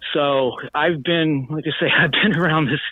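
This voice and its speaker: In an ordinary speaking voice, a man talks at a fairly slow pace with fairly even intonation. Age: 60s. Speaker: former local elected official. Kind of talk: live interview. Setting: phone call.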